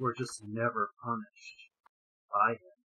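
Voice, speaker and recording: A put-on character voice at a low pitch. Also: moderate pace. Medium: actual play. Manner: grave, formal.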